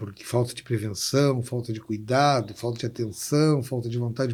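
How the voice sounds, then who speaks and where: Somewhat breathy, a man speaks at a moderate pace in a dark, mellow tone. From Brazil, Porto Alegre. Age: 60s. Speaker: labor lawyer and city councillor. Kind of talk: interview conversation.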